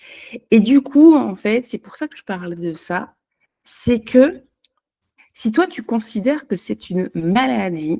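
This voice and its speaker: In a dry, close sound with no echo, the voice has a dark, mellow tone and a very slow pace, with big swings in loudness. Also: woman, fairly high pitch for a woman. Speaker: holistic energy therapist. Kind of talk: unscripted personal talk to camera. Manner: halting, many hesitations.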